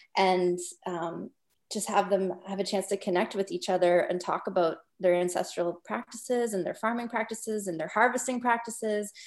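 Someone with a Canadian accent speaks at a moderate pace with fairly even intonation in an unremarkable speaking voice. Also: woman, medium pitch for a woman. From Northwest Territories, Canada. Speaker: documentary filmmaker. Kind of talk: interview.

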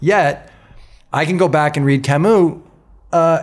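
A man at a moderate pace with lively intonation, in a very clean recording with a silent background. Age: 50s. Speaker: podcast host and writer. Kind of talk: casual interview. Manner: halting, many fillers.

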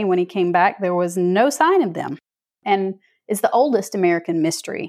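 A woman speaks with a Southern US accent. Her pitch is medium. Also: very clean recording, silent background. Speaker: author. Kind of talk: interview.

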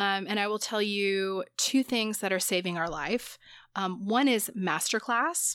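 On a very clean recording with a silent background, a woman with an unremarkable speaking voice talks at a fairly slow pace, medium pitch and ordinary pitch variation. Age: 40s. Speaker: podcast host, psychotherapist. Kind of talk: casual chat.

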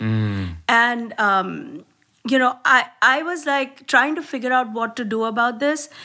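A bright, sharp tone delivered at a fairly slow pace. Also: woman, high pitch for a woman, ordinary pitch variation. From India. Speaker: comedian. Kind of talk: casual chat. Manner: animated.

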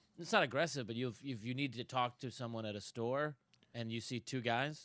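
At a fairly quick pace, a man with an American accent speaks at a medium pitch with fairly even intonation on a very clean recording with a silent background. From Buffalo, New York. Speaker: comedian and actor. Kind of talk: casual chat.

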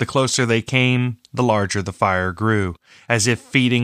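The clip features an unforced reading voice. Its pitch varies in an ordinary way.

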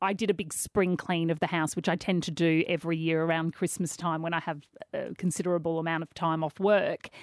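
A woman with an Australian accent speaks fairly quickly at a fairly low pitch in a flat monotone, her dry, close sound with no echo captured on a very clean recording with a silent background. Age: 40s. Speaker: radio host and author. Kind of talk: casual interview chat.

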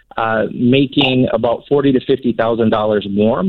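A medium-pitched man at a moderate pace. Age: 30s. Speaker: caller. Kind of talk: casual chat. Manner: halting.

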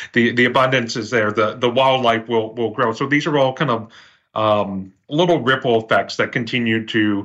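With an unremarkable speaking voice, a man talks at a moderate pace with ordinary pitch variation against a quiet background. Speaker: TV bureau reporter. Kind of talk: casual panel discussion. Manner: relaxed, chatty.

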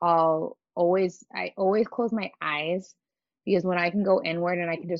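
A woman uses a normal speaking voice with a fairly low pitch. She keeps a moderate pace and fairly even intonation. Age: 30s. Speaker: breathwork facilitator and movement instructor. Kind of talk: casual interview chat.

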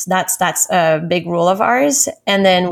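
The recording is very clean, with a silent background. A woman speaks at a moderate pace with fairly even intonation. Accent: French. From France, Paris. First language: French. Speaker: recruiting director. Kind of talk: interview.

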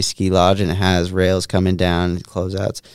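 Against music in the background, a man with a very deep, low pitch speaks at a moderate pace, the sound dry and close with no echo. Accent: American. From Vermont, US. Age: 30s. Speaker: pro snowboarder and artist. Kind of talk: casual interview. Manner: soft-spoken.

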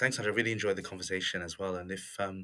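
Recorded very cleanly over a silent background, a man with a British accent speaks with a bright, sharp tone, a fairly low pitch and fairly even intonation. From England. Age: 40s. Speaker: motivation expert and author. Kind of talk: interview.

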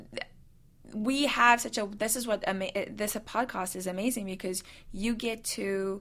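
Over a silent background in a very clean recording, a woman talks at a moderate pace with a bright, sharp tone and fairly even intonation. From South Africa. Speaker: actress. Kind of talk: casual chat.

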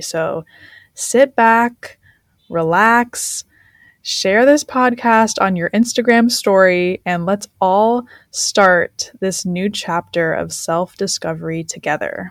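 In a dry, close recording with no echo, a woman with a plain, everyday voice speaks at a medium pitch with lively intonation. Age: 20s. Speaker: life coach. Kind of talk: podcast monologue.

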